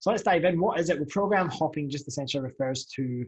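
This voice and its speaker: A somewhat breathy male voice with a Scottish accent and ordinary pitch variation. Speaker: fitness coach and podcast host. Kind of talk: podcast monologue. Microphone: new USB podcast mic.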